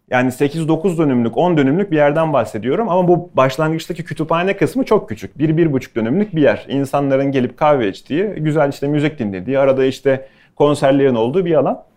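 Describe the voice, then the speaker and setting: A man talks at a fairly quick pace in an unremarkable speaking voice, fairly high in pitch, with hardly any pauses. His intonation is lively, and the background is quiet. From Bursa, Turkey. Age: 30s. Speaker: chef. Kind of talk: talk to students with Q&A.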